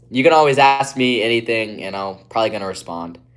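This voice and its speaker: On a very clean recording with a silent background, a man with an American accent talks at a very fast pace, medium in pitch with ordinary pitch variation. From West Virginia, Appalachia. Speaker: streamer. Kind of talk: live stream chat. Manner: casual, filler-heavy.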